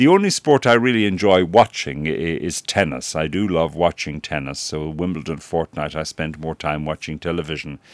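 A man with an Irish accent and a very deep, low voice speaks at a moderate pace with ordinary pitch variation and hardly any pauses. The recording is very clean and silent behind him, with a dry, close sound and no echo. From Ireland. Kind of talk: radio interview. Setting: radio studio. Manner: formal, articulate.

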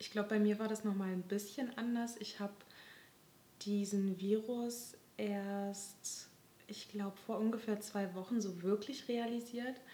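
Flat, monotone intonation marks this woman's speech. She keeps to a fairly slow pace. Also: medium pitch for a woman. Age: 20s. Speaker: podcast host, social work student. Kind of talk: casual chat.

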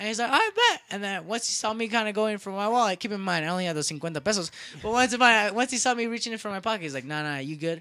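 A man with an American accent talks in a raised, projected, high-pitched voice that is bright and sharp, at a very fast pace with lively intonation and hardly any pauses. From United States. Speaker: podcast host. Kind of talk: casual chat.

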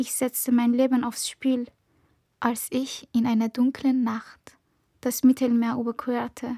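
In a very clean, dry and close recording with a silent background and no echo, a woman with a high pitch and a dark, mellow tone speaks at a very slow pace with monotone, flat intonation. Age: 20s. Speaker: spoken word poet. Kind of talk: spoken word performance. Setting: stage with microphone.

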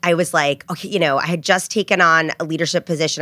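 In a very clean, dry, close recording with no echo and a silent background, a woman speaks fairly quickly in a fairly low pitch with a bright, sharp tone. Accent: American. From New Jersey. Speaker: advertising executive. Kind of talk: interview.

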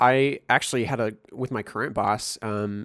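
A man with an American accent speaks in a normal speaking voice at a medium pitch, with fairly even intonation. The recording is very clean, with a silent background. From US Midwest, Missouri. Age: 20s. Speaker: podcast co-host, musician. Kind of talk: casual chat. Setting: virtual call.

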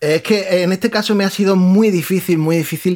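The recording is very clean with a silent background as a man speaks at a fairly quick pace. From Spain, Murcia region (San Pedro). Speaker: podcast panelist. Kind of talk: casual chat.

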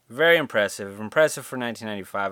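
Captured on a very clean recording with a silent background and a dry, close sound without echo, a man uses an ordinary speaking voice at medium pitch with ordinary pitch variation. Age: 30s. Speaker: podcast host. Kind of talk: casual solo monologue. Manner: casual, laid-back.

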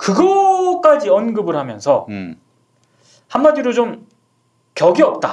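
A man talks at a very slow pace with long, frequent pauses, his extremely high pitch swinging very widely. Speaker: journalist panelist. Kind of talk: casual panel discussion about media and news.

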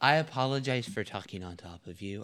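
A man with an American accent speaks in a normal speaking voice at a medium pitch and a fairly quick pace, with ordinary pitch variation, on a very clean recording with a silent background. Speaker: family podcast host. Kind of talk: casual chat. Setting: studio.

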